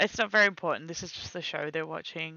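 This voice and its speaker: This woman's voice sits at a fairly low pitch. She speaks quietly. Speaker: streamer. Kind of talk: casual chat. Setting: live stream.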